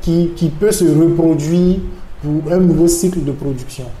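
In a room with audible echo and noticeable background noise, a man with a Burkinabè accent talks at a moderate pace in a high pitch. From Burkina Faso. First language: Mooré (speaking French). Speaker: NGO manager, renewable energy expert. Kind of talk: interview. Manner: hesitant, with fillers.

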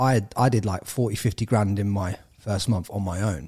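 A somewhat breathy man with an English accent and fairly low pitch, in a very clean recording with a silent background. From England. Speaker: entrepreneur and podcaster. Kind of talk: casual interview chat.

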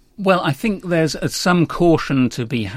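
A man's lively intonation comes through a very clean recording with a silent background. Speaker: newspaper management editor. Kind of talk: interview discussion. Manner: hesitant, fillers.

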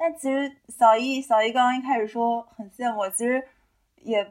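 A woman with a plain, everyday voice at a fairly high pitch and a moderate pace. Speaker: podcast co-host. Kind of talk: casual chat.

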